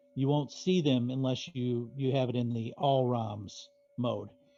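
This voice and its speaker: With music in the background, a man talks at a medium pitch and a fairly slow pace, using ordinary pitch variation. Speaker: home arcade hobbyist. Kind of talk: casual chat. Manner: loud.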